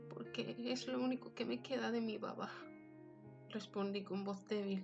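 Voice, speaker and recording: Music plays in the background as a woman talks at a fairly slow pace with very wide pitch swings. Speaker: narrator. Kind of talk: fiction reading.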